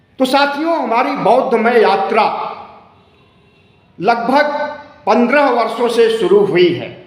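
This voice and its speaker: A man speaks with an extremely high pitch and ordinary pitch variation, with audible room echo and noticeable background noise. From northern India, Uttar Pradesh (Allahabad). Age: 60s. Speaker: Buddhist activist and YouTuber. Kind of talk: monologue address to followers.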